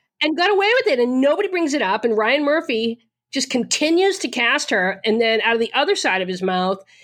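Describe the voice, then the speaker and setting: A woman with a Boston accent talks at a fairly quick pace in an animated tone and a high pitch. Her pitch swings very widely while her loudness stays very even. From Boston area, Massachusetts. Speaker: podcast host. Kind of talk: casual chat.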